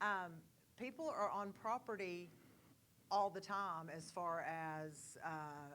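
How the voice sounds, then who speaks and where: A woman with an East Texas accent talks in a bright, sharp tone. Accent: East Texas Southern. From East Texas, Kilgore. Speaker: board candidate. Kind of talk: candidate forum answer.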